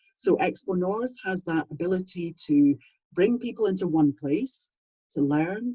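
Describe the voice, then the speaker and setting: The woman's tone is dark and mellow, and somewhat breathy. Her pitch swings very widely. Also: dry, close sound with no echo. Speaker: voiceover artist. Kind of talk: interview answer. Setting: home studio.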